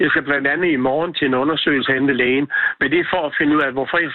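His pitch sits fairly high for a man. He rattles along at a very fast pace. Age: 70s. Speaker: singer and former hairdresser. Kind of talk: phone interview. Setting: phone call. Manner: halting.

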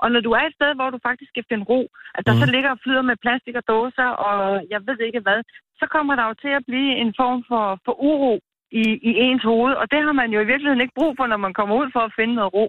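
Fairly quick female speech, high in pitch, its pitch varying in an ordinary way. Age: 50s. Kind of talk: casual phone interview.

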